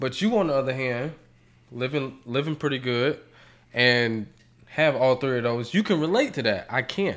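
Long, frequent pauses break up this man's moderate pace, his voice at a medium pitch with ordinary pitch variation. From US South. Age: 20s. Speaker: father. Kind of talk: casual chat.

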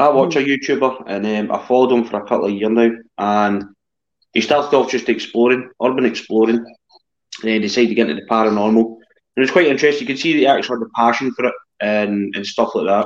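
A man with a Scottish accent and medium pitch, a very fast pace and ordinary pitch variation. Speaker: paranormal investigator. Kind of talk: casual chat. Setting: video call.

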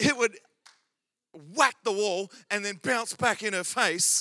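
A man speaks with an Australian accent in a raised, projected voice. His tone is animated, bright and sharp. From Australia, Adelaide. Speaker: pastor. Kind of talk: sermon. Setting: church.

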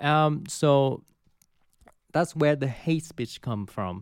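In a very clean recording with a silent background, a man speaks with a Vietnamese accent. His pace is very slow and his pitch variation ordinary. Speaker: university student. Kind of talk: panel discussion. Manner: halting.

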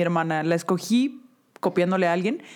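Here is a woman with a plain, everyday voice at a moderate pace. Her intonation is lively. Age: 30s. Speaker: podcast co-host. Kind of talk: casual chat.

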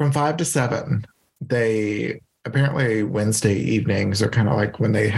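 A man speaks with an American accent. His pace is moderate and his voice somewhat breathy. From Louisiana, US South. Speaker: podcast host and yoga teacher. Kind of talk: casual chat.

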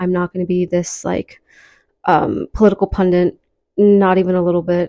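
A woman speaks at medium pitch. The sound is dry and close with no echo, over a quiet background. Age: 20s. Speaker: podcast host. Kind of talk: casual monologue. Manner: casual, frequent filler ums.

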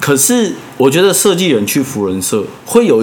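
A man's voice with very wide pitch swings, noticeable background noise and audible room echo. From Taiwan, Taipei. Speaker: design podcast host. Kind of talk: casual chat.

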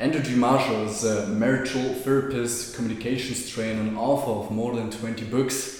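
A man speaks with a German accent in a monotone, flat intonation, with audible room echo and noticeable background noise. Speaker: podcast host. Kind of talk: interview. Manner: halting.

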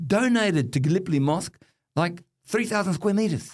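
A man in an Australian accent at a moderate pace, with very wide pitch swings. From Western Sydney, Australia. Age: 50s. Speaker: Islamic wealth management executive, former politician. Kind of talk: casual chat. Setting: studio.

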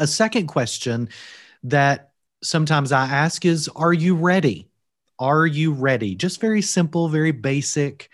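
A man speaks at a moderate pace with a Kentucky accent and a fairly high pitch. His loudness stays very even throughout. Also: lively intonation. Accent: Kentucky Southern US. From Kentucky, US. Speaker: seminary provost and author. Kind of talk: interview conversation on ministry training. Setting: remote, video or call from Wales.

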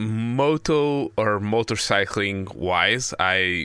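A man's bright, sharp tone, with ordinary pitch variation, is captured on a very clean recording against a silent background. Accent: Portuguese. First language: Portuguese. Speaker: podcast host. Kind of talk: casual chat.

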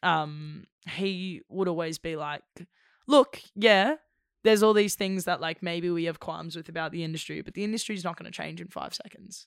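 A woman with an Australian accent speaks at a fairly low pitch. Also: ordinary pitch variation, moderate pace, big swings in loudness, very clean recording, silent background. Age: 20s. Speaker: actor. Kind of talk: casual chat.

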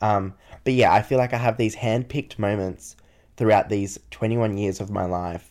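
A man with an ordinary speaking voice, fairly low pitch, fairly even intonation and a moderate pace, on a very clean recording with a silent background. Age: 20s. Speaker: solo podcaster, university student. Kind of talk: casual personal monologue.

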